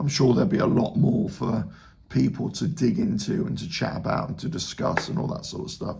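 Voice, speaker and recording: Audible room echo surrounds a man whose fairly high pitch moves in very wide swings at a moderate pace. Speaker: football fan YouTuber. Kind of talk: casual video reaction.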